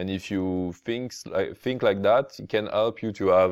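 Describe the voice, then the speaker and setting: Against a quiet background, a man with a French accent speaks with a fairly low pitch at a fairly slow pace. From France. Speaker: podcast host. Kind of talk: casual interview. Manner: halting, many fillers.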